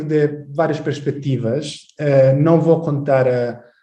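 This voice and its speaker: A man with an Italian accent speaks at a very slow pace in a fairly high pitch, his tone dark and mellow, with audible room echo. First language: Italian (speaking Portuguese). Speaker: history professor. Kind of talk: lecture. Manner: halting.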